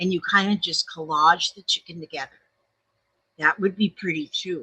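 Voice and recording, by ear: A woman speaks at a moderate pace, her pitch fairly low and her intonation fairly even. Her tone is bright and sharp with a husky, rough edge, in a dry, close sound with no echo.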